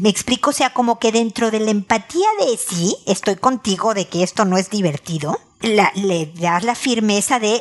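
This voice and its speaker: A woman's medium-pitched voice with a Mexican accent and lively intonation, over noticeable background noise. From Mexico. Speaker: relationship advice podcaster. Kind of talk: advice monologue.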